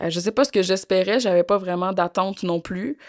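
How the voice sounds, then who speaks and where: The recording is very clean, with a silent background and a dry, close sound with no echo. The speaker keeps a moderate pace and fairly even intonation. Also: woman. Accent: Quebec. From Quebec. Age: young. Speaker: interview guest, complainant. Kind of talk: interview testimony. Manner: hesitant, many fillers.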